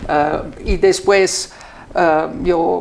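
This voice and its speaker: A woman talks at a fairly low pitch. Noticeable background noise and audible room echo fill the recording. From Austria. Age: 60s. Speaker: ambassador. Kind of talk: interview. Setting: embassy. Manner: halting.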